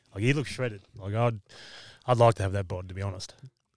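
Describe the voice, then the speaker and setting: Very fast and fairly low in pitch, a man talks with an Australian accent and fairly even intonation. The recording is very clean, with a silent background. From Victoria, Australia. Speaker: MMA fighter. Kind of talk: casual chat.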